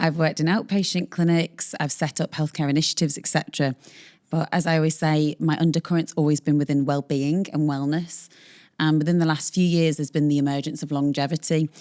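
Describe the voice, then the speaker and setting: A woman with a British accent talks very fast in a very deep, low voice with a dark, mellow tone and a monotone, flat intonation, in a very clean recording with a silent background and a dry, close sound with no echo. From northern England, the Wirral. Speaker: longevity medicine doctor. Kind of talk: interview conversation.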